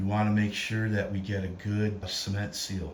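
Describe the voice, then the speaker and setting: A fairly low-pitched man talks over noticeable background noise. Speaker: home haunt builder. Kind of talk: DIY tutorial narration.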